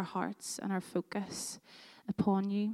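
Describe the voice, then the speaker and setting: A woman in a Northern Irish accent, medium in pitch, with monotone, flat intonation and a dry, close sound with no echo. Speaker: worship leader. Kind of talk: guided prayer. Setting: church.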